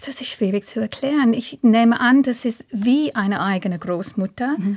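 A woman speaks with an English accent at a fairly high pitch, her voice somewhat breathy. She keeps a moderate pace and ordinary pitch variation. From southern England. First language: English (speaking German). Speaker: translator and language teacher. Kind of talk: radio interview. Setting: studio.

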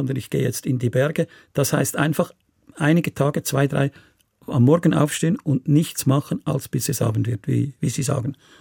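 A man's somewhat breathy voice, fairly high-pitched, at a moderate pace with ordinary pitch variation, dry and close with no echo. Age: 70s. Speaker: restaurateur and political activist. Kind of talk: radio interview.

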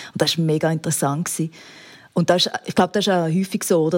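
A woman with a fairly low-pitched voice talks at a very fast pace. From rural Switzerland. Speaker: TV documentary presenter. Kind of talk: interview. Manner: animated.

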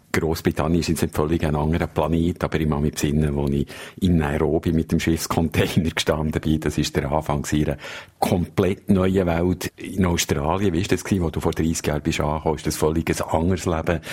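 A man with a Swiss accent speaks at a fairly quick pace in a very deep, low pitch. His intonation is monotone and flat, with noticeable background noise. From Switzerland. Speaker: foreign correspondent. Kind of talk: casual chat.

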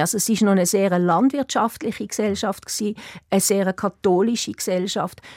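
In a very clean recording with a silent background and a dry, close sound with no echo, a woman with a Swiss German accent speaks in a dark, mellow tone. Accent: Swiss German accent, noticeable. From Switzerland, Basel. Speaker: writer. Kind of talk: radio interview. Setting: studio. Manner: hesitant, many fillers.

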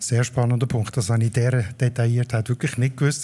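The tone here is dark and mellow. It belongs to a man whose voice is somewhat breathy. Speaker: podcast host, dialect expert. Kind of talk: explanatory chat, live. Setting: live stage with audience at a festival.

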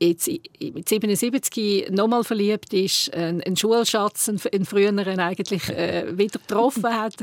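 Recorded very cleanly against a silent background, a woman with a Swiss accent speaks at medium pitch, the sound dry and close with no echo. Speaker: podcast host. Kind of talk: casual chat.

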